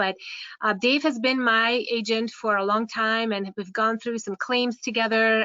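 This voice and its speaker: A woman with a Hungarian accent talks at a moderate pace with a fairly high pitch. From Hungary. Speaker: care home owner and software presenter. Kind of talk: webinar presentation. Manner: halting, many fillers.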